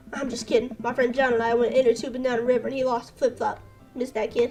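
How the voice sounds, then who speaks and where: A raspy, put-on character voice at a very fast pace, in monotone, flat intonation over faint background music. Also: woman, high pitch for a woman. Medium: game stream. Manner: deadpan, menacing humor.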